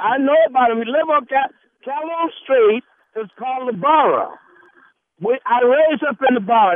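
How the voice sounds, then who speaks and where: At a moderate pace, a man with an American accent speaks in an extremely high pitch with ordinary pitch variation. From Charleston, South Carolina. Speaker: radio caller. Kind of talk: call-in. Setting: phone call.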